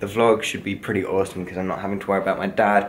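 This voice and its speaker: A man speaks in an unremarkable speaking voice, pitched fairly low with fairly even intonation. Light background noise sits behind him. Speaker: vlogger. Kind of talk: casual vlog chat. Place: home room. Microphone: phone near.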